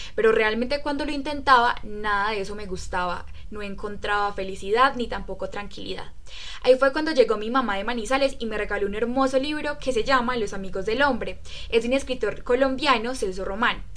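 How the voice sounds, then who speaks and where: Audible room echo surrounds a woman with a fairly high pitch who speaks at a fairly quick pace with ordinary pitch variation. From Colombia, Riosucio, Caldas. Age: 20s. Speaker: book club podcast member. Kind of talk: casual chat.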